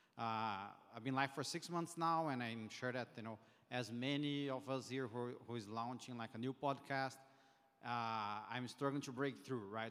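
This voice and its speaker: A man with a Brazilian accent speaks at a moderate pace and medium pitch, with fairly even intonation. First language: Portuguese. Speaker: audience member and podcast host. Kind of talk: audience question at live Q&A. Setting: conference room with audience, handheld mic. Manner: halting, many fillers and restarts.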